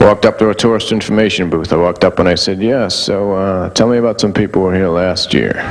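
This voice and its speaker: A man talks at a very fast pace with hardly any pauses, his fairly low voice deadpan in tone and fairly even in intonation. Noticeable background noise is present. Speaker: stand-up comedian. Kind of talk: stand-up comedy set. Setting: live audience.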